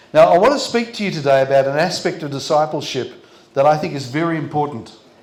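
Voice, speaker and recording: A man with an Australian accent at a very fast pace, ordinary pitch variation and audible room echo. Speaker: pastor. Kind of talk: sermon. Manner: short phrases paused for interpreter.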